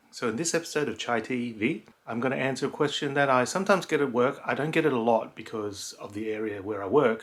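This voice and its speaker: Delivered at a very fast pace with hardly any pauses, the speech carries a Cantonese accent and ordinary pitch variation. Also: man, medium pitch for a man. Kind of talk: casual talk to camera.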